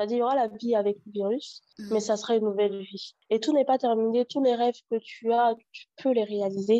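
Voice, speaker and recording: A normal speaking voice: a woman at a fairly quick pace and fairly high pitch, with hardly any pauses, in a dry, close sound with no echo. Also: fairly even intonation. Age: 30s. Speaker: HIV activist. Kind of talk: personal testimony interview.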